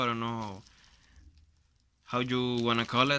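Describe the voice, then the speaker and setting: A man with a Spanish accent speaks at a fairly slow pace, his medium-pitched voice bright and sharp in tone, with monotone, flat intonation. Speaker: YouTuber doing product unboxing. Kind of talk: unboxing video, casual talk to camera. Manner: halting, with self-corrections.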